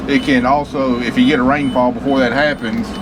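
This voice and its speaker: In a Tennessee accent, a man talks with lively intonation. Noticeable background noise and audible room echo fill the recording. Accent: US Southern (Tennessee). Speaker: farmer. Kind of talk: casual vlog narration. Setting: in a tractor. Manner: halting.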